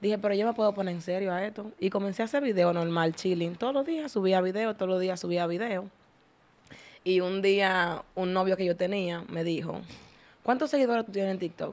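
A woman speaks at a fairly quick pace with a Dominican accent. Her pitch varies in an ordinary way. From Dominican Republic. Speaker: TikToker, content creator; podcast guest. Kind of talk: casual interview chat. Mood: venting, somewhat indignant. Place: studio. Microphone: studio mic.

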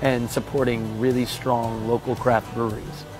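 A man's voice with fairly even intonation, dry with no echo, over clear background music. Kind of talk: interview answer. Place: bar.

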